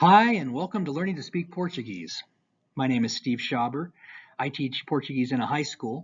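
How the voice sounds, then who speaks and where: Somewhat breathy and delivered at a moderate pace, the voice has lively intonation and an American accent. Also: man, fairly high pitch for a man. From United States. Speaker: high school Portuguese teacher. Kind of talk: language tutorial.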